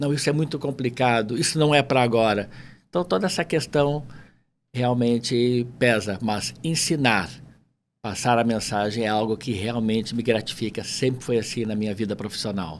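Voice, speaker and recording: On a very clean recording with a silent background, a man speaks at a medium pitch. His pace is moderate and his pitch variation ordinary. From Porto Alegre, southern Brazil. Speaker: entrepreneur, language school owner. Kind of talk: casual interview chat.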